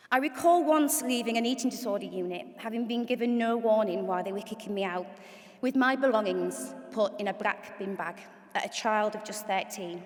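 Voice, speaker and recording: A woman with a Hull accent talks at a moderate pace in a fairly high pitch, with ordinary pitch variation. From northern England, Hull. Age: 40s. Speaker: event MC and charity CEO. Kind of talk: event hosting speech with personal testimony. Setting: stage with audience in auditorium.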